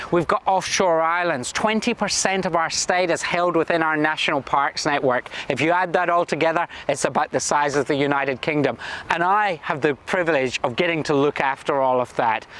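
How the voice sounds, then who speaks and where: A man with a Scottish accent at a fairly high pitch and fairly quick pace, with very even loudness and ordinary pitch variation, over noticeable background noise. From Scotland. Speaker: government minister. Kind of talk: prepared video address.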